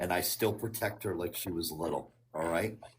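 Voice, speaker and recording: A man with an American accent talks at a moderate pace. His voice is somewhat breathy, with ordinary pitch variation. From Connecticut. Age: 60s. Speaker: caller. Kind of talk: casual chat. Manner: halting.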